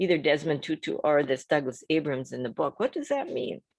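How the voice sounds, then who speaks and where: Against a quiet background, a woman speaks with a Midwestern accent. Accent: Midwest. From US Midwest. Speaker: motivational speaker. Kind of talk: casual talk on a book.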